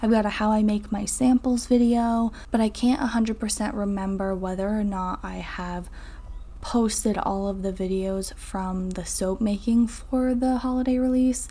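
A woman with an American accent and an unremarkable speaking voice, fairly high in pitch, fairly even in intonation, at a fairly slow pace. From northern Vermont, US. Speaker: soap maker and video creator. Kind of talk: tutorial with voiceover narration.

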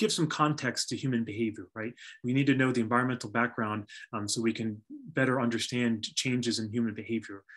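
A man talks very fast with a quiet background behind him. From US Northeast. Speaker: archaeologist and university lecturer. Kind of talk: lecture. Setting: video call. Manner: halting. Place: home room. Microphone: webcam.

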